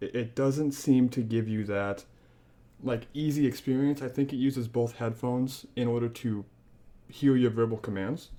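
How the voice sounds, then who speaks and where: A man with a Midwestern American accent, medium pitch, and a dark, mellow tone, at a moderate pace with fairly even intonation. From Northwest Indiana, US Midwest. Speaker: podcast co-host, tech reviewer. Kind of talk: casual product review chat.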